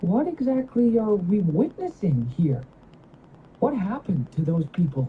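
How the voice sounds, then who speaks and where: The put-on character voice sits at a middle pitch and makes very wide pitch swings. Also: female-sounding voice, moderate pace. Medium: video game.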